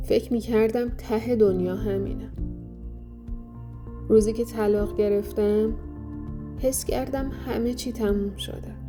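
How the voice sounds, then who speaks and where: A woman speaks at a fairly slow pace in a calm, gentle tone. Music plays in the background. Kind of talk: reflective healing podcast narration.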